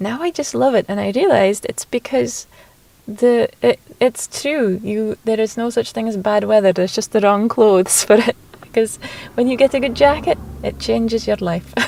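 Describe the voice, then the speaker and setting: In a Shetland accent, a woman with a fairly high pitch talks at a moderate pace with ordinary pitch variation, the sound dry and close with no echo but noticeable background noise. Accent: Shetland Scottish. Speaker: poet. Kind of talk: casual interview. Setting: outdoors. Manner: halting.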